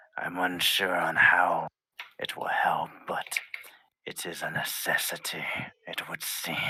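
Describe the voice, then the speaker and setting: Whispering in a put-on character voice, a man speaks at a fairly slow pace with long, frequent pauses. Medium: actual play. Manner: measured, formal, reserved.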